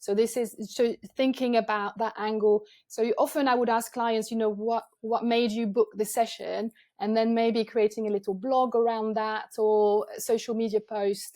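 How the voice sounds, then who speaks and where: A woman with a French accent speaks at a moderate pace, her pitch fairly high and her tone dark and mellow. Her intonation is monotone and flat, on a very clean recording with a silent background. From France, Avignon. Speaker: photographer. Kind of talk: podcast interview. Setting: video podcast.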